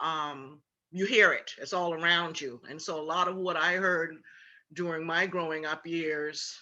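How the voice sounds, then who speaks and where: This woman's voice sits fairly low and has a bright, sharp tone. She talks at a fairly slow pace with fairly even intonation. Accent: South Carolina Lowcountry. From Charleston, South Carolina (Gullah Geechee area). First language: Gullah. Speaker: tour guide and cultural presenter. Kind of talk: symposium Q&A answer.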